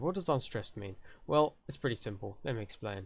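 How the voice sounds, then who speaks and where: A man with a British accent talks at a fairly quick pace in a very clean recording with a silent background. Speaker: conlang tutorial youtuber. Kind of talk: tutorial. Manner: casual.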